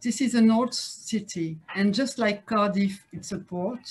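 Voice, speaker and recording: A woman's medium-pitched voice in a French accent, with ordinary pitch variation and a fairly slow pace. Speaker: politician, city advisor. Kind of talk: conference talk. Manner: halting, many fillers and repetitions.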